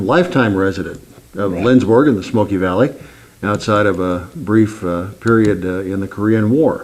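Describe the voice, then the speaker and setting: In an ordinary speaking voice, the man talks at a moderate pace, his pitch fairly low and its variation ordinary. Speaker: oral history interviewer. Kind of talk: interview questions.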